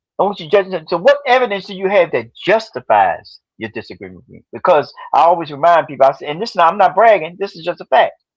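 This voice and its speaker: A man with a high pitch talks at a very fast pace with hardly any pauses and lively intonation. His loudness swings widely against a quiet background. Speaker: author and researcher of African history. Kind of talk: podcast interview.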